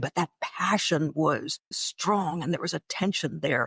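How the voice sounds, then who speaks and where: A woman with a very deep, low pitch and an American accent speaks at a fairly slow pace with ordinary pitch variation, the sound dry and close with no echo on a very clean recording with a silent background. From northeastern Pennsylvania. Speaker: radio broadcaster. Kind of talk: interview.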